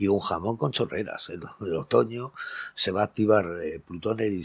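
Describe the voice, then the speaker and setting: A man speaks at a fairly low pitch with ordinary pitch variation, on a very clean recording with a silent background. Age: 60s. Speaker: astrologer. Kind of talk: casual monologue. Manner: animated.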